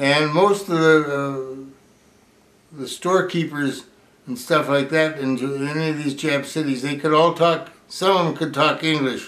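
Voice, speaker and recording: Audible room echo surrounds a man speaking at a moderate pace. His pitch is fairly high, and his intonation stays fairly even. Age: 80s+. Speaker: war veteran. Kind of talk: oral history interview. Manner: halting.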